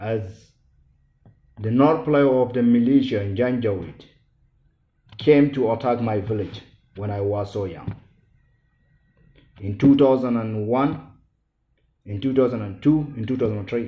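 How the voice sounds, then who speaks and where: In a Sudanese accent, a man speaks at a fairly slow pace and medium pitch with ordinary pitch variation and long, frequent pauses, against audible room echo. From Sudan, Darfur. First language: not English. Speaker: genocide survivor speaker. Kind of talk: public speech. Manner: halting.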